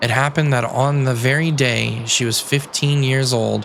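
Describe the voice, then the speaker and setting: A soft-spoken man talks at a moderate pace and medium pitch with fairly even intonation, against noticeable background noise. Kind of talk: sleep story.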